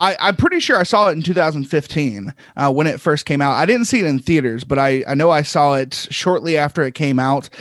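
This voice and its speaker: Fairly high in pitch, a man talks at a fairly quick pace in a normal speaking voice, with ordinary pitch variation and hardly any pauses. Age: 30s. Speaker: film podcaster. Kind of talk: casual chat.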